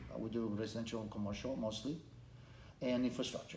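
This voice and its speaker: Heard with audible room echo, the speaker talks with a Romanian accent. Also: man. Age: 50s. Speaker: congressional candidate. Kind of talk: interview. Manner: halting, with repetitions and restarts.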